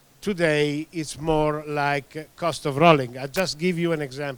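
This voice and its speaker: A man with an Italian accent speaks at a fairly high pitch. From Italy. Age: 60s. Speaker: tyre industry expert. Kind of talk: presentation. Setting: meeting room. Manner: halting, many fillers.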